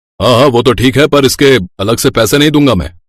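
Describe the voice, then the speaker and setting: Putting on a cartoonish character voice, a man rattles along at a very fast pace with a medium pitch. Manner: brusque, practical.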